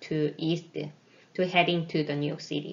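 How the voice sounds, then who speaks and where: A woman's voice with audible room echo. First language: not English. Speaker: research scientist. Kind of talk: lecture.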